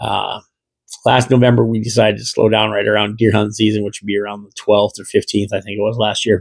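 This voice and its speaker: A man with a Midwestern American accent talks at a very fast pace, fairly low in pitch, with vocal fry. His intonation is monotone and flat, while his loudness swings widely. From US Midwest. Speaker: gaming podcast host. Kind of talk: casual monologue. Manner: rambling with many fillers.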